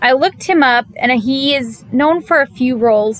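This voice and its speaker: A woman's high-pitched voice with lively intonation at a fairly slow pace. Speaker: anime reviewer. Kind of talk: video review. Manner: casual, conversational.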